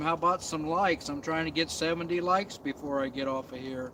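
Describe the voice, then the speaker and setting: With noticeable background noise behind him, a man talks at a very fast speed, his fairly high pitch showing ordinary variation. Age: 60s. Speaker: outdoor camping vlogger. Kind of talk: casual live stream chat. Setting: outdoors in the woods at night.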